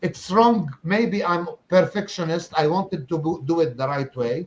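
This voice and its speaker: A man at a fairly slow pace. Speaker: online marketer and coach. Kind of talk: interview on a live stream. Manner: halting, with repetitions and restarts.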